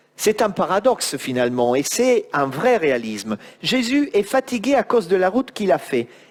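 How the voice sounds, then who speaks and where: With an Italian accent, a man speaks. His pitch swings very widely. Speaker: preacher. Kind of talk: sermon.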